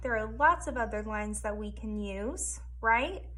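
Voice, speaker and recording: Amid noticeable background noise and audible room echo, a woman talks at a fairly slow pace in an animated tone. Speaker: elementary school art teacher. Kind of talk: tutorial for young children. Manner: animated, encouraging teacher tone.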